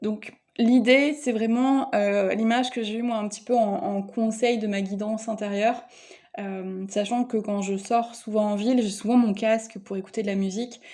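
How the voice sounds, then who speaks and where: A woman speaks at a moderate pace with a fairly high pitch. Her tone is dark and mellow, and her intonation stays fairly even. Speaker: spiritual card reader. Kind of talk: energy guidance reading. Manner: hesitant, many fillers.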